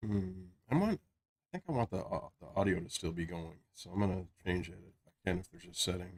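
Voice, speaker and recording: Somewhat breathy and fairly even in intonation, the voice goes at a fairly quick pace with hardly any pauses and big swings in loudness. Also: man, very deep, low pitch for a man. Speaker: gaming streamer. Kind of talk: casual live-stream chat. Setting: home stream, in Discord.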